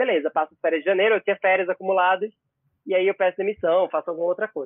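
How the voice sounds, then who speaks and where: Very fast and high-pitched, a man talks with fairly even intonation. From Pernambuco interior, Brazil. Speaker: celebrity journalist. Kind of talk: casual chat.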